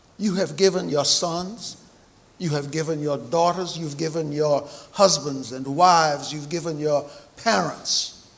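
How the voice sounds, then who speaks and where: A fairly high-pitched man with an American accent at a fairly slow pace, amid noticeable background noise and audible room echo. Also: ordinary pitch variation. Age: 70s. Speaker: navy veteran and banquet speaker. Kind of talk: speech at a memorial banquet. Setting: banquet hall with audience, microphone.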